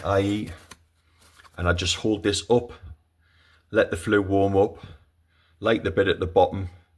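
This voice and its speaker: Speaking in a Geordie accent, a man with a fairly low pitch sounds somewhat breathy, his intonation flat and monotone. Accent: Geordie (Newcastle). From Newcastle, northern England. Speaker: home owner video maker. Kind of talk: casual product review. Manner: hesitant, many fillers.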